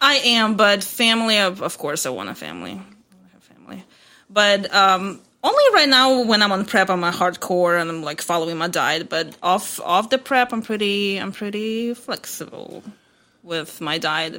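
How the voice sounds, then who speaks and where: A woman of medium pitch speaks with a bright, sharp tone, ordinary pitch variation and big swings in loudness. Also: moderate pace. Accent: non-native. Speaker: fitness competitor. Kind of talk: interview answer.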